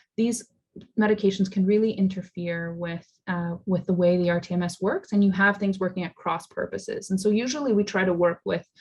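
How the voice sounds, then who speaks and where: Somewhat breathy, a woman speaks at a fairly quick pace in a medium pitch with fairly even intonation. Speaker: psychiatrist giving a talk. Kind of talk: lecture. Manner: fast.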